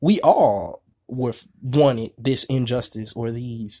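The voice belongs to a man and sits at a medium pitch. It holds a fairly even intonation. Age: 20s. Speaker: spiritual podcast host. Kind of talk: monologue podcast on spirituality. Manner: casual, frequent filler words.

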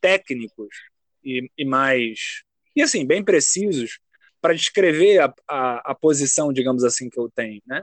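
A man's voice in a dry, close sound with no echo. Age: 20s. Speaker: graduate student and writer. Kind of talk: casual chat.

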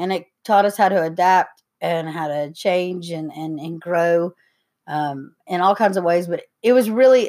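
A woman's fairly low voice with an Appalachian accent, fairly slow pace and ordinary pitch variation, on a very clean recording with a silent background. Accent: Appalachian Southern US. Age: 30s. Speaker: podcast co-host. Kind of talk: casual chat.

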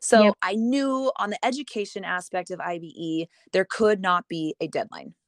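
A woman with a plain, everyday voice speaks at a medium pitch and moderate pace. Her intonation is lively against a quiet background. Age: 30s. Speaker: hair extension educator and company founder. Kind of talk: casual interview.

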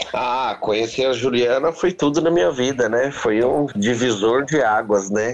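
Talking at a fairly slow pace with hardly any pauses, a man has a normal speaking voice at a medium pitch with ordinary pitch variation. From Brazil, São Paulo. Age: 40s. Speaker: restaurant owner. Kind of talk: casual interview.

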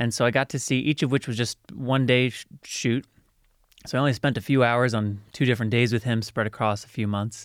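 Recorded very cleanly against a silent background with a dry, close sound and no echo, a man with an ordinary speaking voice and medium pitch talks at a fairly quick pace with fairly even intonation. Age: 30s. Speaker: podcaster and media producer with haemophilia. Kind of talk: interview.

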